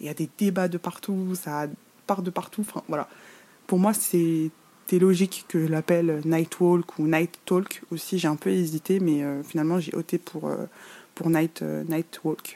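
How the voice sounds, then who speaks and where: With a dark, mellow tone and a fairly low pitch, a woman speaks at a fairly slow pace in a monotone, flat delivery, the sound dry and close with no echo. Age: 20s. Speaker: podcast host. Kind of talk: casual monologue. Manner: halting, with fillers.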